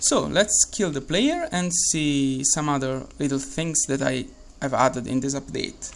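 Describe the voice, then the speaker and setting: A man with an Italian accent at a fairly slow pace over noticeable background noise. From Italy. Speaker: game developer. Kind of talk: tutorial. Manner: halting, many fillers and repeats.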